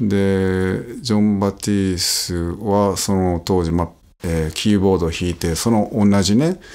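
Words come fairly slowly, with ordinary pitch movement. The tone is dark and mellow. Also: man. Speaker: trumpet player. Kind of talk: casual chat. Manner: hesitant, many fillers.

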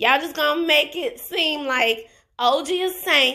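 A woman's raised, projected voice, animated and bright with a sharp tone, at a fairly slow pace in a very clean recording with a silent background. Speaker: YouTuber reviewing reality TV. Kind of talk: casual commentary vlog.

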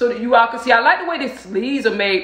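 With audible room echo around her, a woman speaks at a high pitch. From Southern US (Georgia). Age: 50s. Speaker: style vlogger. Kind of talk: casual talk to camera. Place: home room.

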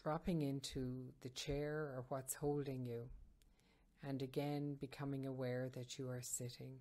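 Calm and soothing, a woman with a very deep, low pitch speaks in a dark, mellow tone with monotone, flat intonation. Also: fairly slow pace. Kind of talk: guided meditation. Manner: slow, calm, soothing; gentle, measured, with long pauses.

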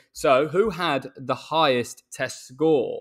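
Over a quiet background, a man with an English accent speaks at a very slow pace. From England. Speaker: cricketer, podcast co-host; podcast co-host. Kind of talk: casual chat. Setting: video call. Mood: relaxed, jokey. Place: home room. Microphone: earbuds.

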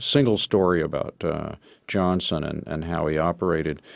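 A man's normal speaking voice with an American accent, at a moderate pace and with ordinary pitch variation. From Texas, Austin. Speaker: playwright and screenwriter. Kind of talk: interview.

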